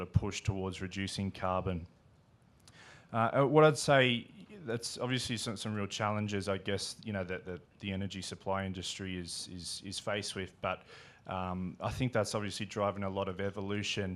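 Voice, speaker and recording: With an Australian accent, a man speaks at a moderate pace in a fairly low pitch with fairly even intonation, on a very clean recording with a silent background. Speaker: infrastructure investor. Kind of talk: panel discussion. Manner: halting, many fillers.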